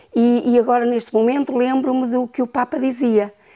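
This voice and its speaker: A woman's high-pitched voice at a moderate pace against a quiet background. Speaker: grandmother and teacher; teacher. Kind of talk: interview testimony. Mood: warm, reflective. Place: home room. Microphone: lapel.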